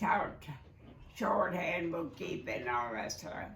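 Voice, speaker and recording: Against noticeable background noise, a woman speaks at medium pitch. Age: 80s+. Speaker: retired oil and gas office worker. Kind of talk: interview answer. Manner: halting, hesitant.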